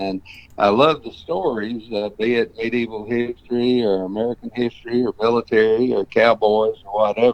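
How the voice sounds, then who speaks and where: Here a man speaks in a Tennessee accent at a moderate pace. His pitch is medium and his intonation fairly even. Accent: US Southern (Tennessee). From Tennessee, Murfreesboro area. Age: 70s. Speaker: ranch manager and cowboy historian. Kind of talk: interview.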